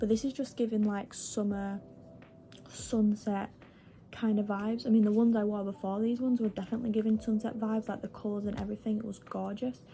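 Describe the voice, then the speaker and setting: Music can be heard behind the speaker. She is a woman talking fairly quickly. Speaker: vlogger. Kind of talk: casual vlog chat. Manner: rambling, filler-heavy.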